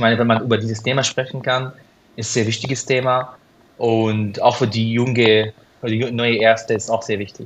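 In an Arabic accent, a man talks at a moderate pace with a medium pitch and monotone, flat intonation. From Syria. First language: Arabic (speaking German). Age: 30s. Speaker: cardiologist. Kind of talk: interview. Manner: halting.

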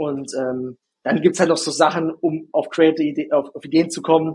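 Slightly Swabian in accent, this man talks at a moderate pace. His pitch is fairly high, with ordinary variation. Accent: slight Swabian regional accent, rolled R. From Bavarian Swabia, Günzburg area. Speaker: ad agency founder, TikTok ads expert. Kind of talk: interview.

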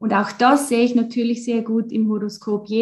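A somewhat breathy woman talks at a moderate pace and a fairly high pitch. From Switzerland (German-speaking). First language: Swiss German (speaking German). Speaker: astrologer. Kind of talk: interview.

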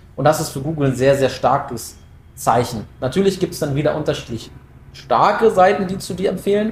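At a fairly quick pace, a man speaks in a somewhat breathy voice with lively intonation. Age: 20s. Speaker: SEO project manager. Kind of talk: casual expert interview.

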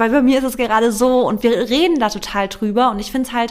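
This woman's voice sits high in pitch. She is a woman with a high-pitched voice. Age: 30s. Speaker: content creator and nutrition coach. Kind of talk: casual chat.

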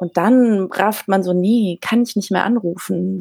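A woman with an ordinary speaking voice and medium pitch talks at a fairly slow pace, the sound dry and close with no echo. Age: 30s. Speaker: journalist and author. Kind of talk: casual interview. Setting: remote call via app.

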